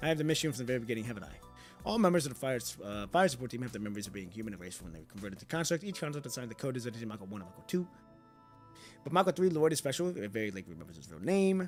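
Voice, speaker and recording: A man talks at a very fast pace with very wide pitch swings and big swings in loudness, music playing in the background. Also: medium pitch for a man. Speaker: streamer reading game dialogue aloud.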